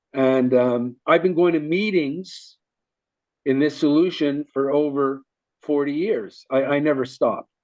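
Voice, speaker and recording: A man at a fairly high pitch, fairly slow pace and ordinary pitch variation. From Canada, Montreal. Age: 60s. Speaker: recovering addict in long-term sobriety. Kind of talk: testimony in an interview. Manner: halting, many fillers and false starts.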